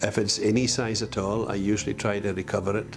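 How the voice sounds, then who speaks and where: A man talks at a moderate pace in a fairly low pitch, with music playing behind him. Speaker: fisherman. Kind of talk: interview answer.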